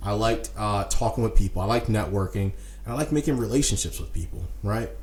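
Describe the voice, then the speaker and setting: Audible room echo follows a man speaking at a fairly quick pace. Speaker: podcast host and entrepreneur. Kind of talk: solo podcast monologue. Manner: fast; casual, with many fillers.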